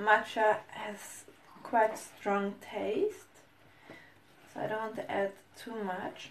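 A woman with a non-native accent speaks at a very slow pace with fairly even intonation, long, frequent pauses and big swings in loudness. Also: fairly high pitch for a woman. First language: not English. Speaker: food vlogger. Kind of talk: tutorial. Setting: home kitchen. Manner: halting.

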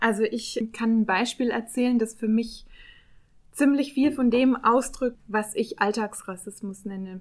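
A woman's plain, everyday voice, fairly high in pitch, at a fairly slow pace. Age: 30s. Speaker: public relations officer. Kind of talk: podcast discussion.

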